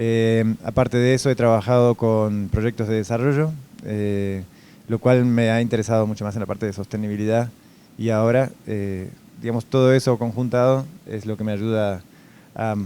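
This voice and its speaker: In a Uruguayan accent, a man speaks at a moderate pace and medium pitch, his dark, mellow tone carrying fairly even intonation. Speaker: food safety executive. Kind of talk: interview. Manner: hesitant, many fillers.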